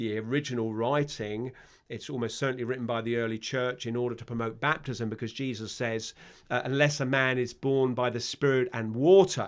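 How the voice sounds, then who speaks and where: A man speaks in a London accent at a fairly quick pace, his intonation fairly even. The recording is very clean, with a silent background. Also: medium pitch for a man. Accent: London English accent, stands out in Ireland. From London, England (Palmers Green, north London). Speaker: vicar, former army officer. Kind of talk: podcast interview. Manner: hesitant, many fillers.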